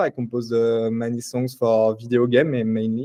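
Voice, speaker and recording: Here a man speaks with a French accent. His pitch is medium. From France, Paris. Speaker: tech startup CTO and composer. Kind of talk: conference tech talk. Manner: hesitant, many fillers.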